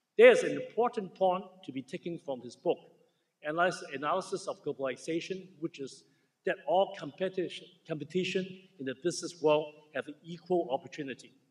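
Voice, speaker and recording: A man speaks with a strong Chinese accent at a fairly quick pace. His high pitch has ordinary variation. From Hong Kong. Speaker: surgeon, keynote speaker. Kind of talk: ceremony keynote speech. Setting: stage with audience. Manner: halting, self-correcting.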